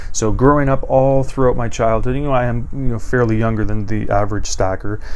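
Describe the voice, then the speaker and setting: Delivered at a fairly quick pace with fairly even intonation, the speech carries audible room echo and noticeable background noise. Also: man, medium pitch for a man. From Canada. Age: 30s. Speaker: coin collecting YouTuber. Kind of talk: show-and-tell tutorial. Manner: hesitant, many fillers.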